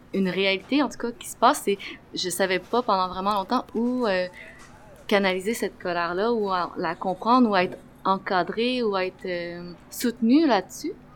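Fairly slow speech from a woman, medium in pitch, its pitch variation ordinary. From Quebec. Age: 20s. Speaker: community organizer. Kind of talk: casual conversation. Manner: hesitant, many fillers.

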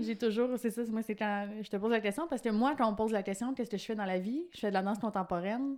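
A woman with a Quebec accent speaks at a very fast pace. Her fairly high pitch shows ordinary variation. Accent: Québécois French. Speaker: podcast host. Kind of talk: casual chat.

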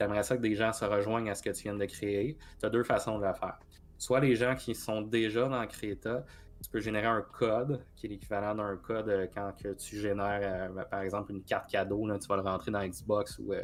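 A man speaks with a Quebec accent at a fairly low pitch. His pace is moderate and his intonation fairly even. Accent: Québécois French. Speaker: gaming podcast co-host and game reviewer. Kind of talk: casual chat. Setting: live stream.

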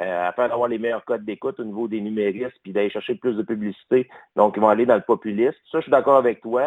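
This man's pitch is medium and varies in an ordinary way. He talks at a very fast pace. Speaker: caller. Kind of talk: call-in discussion.

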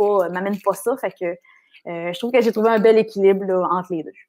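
Her pitch sits in the middle of the range for a woman. This woman's intonation varies only a little. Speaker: radio host and coach. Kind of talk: casual interview chat. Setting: video call with earphones.

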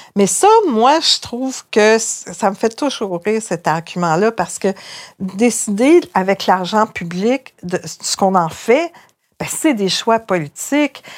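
A woman with a fairly high pitch and lively intonation speaks at a very slow pace. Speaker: journalist and columnist. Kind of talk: interview.

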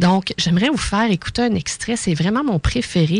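A woman speaks in a Quebec accent with lively intonation. Vocal fry runs through her voice. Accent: Québécois French. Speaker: radio co-host and energy practitioner. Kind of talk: radio talk show. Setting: studio.

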